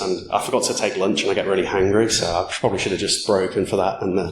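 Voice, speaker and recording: A man talks at a very fast pace with a fairly low pitch. The recording has noticeable background noise and audible room echo. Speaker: security conference speaker. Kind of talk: conference talk.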